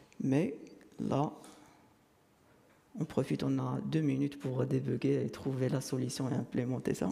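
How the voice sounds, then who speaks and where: A man speaks fairly slowly with long, frequent pauses and very even loudness. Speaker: conference speaker, software developer. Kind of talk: technical conference talk with live demo. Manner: hesitant, many fillers.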